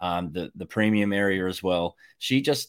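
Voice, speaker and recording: On a very clean recording with a silent background, a man with a fairly low voice speaks at a moderate pace with fairly even intonation. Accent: Australian. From Australia, North Queensland. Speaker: electrician and Bitcoin educator. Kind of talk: casual panel chat.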